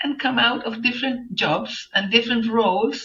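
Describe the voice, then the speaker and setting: With a Chilean accent, a woman speaks at a high pitch with lively intonation. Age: 70s. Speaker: journalist and environmental activist. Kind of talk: interview answer.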